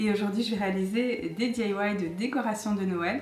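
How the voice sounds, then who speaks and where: A soft-spoken woman's voice with audible room echo and noticeable background noise. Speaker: DIY YouTuber. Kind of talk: tutorial.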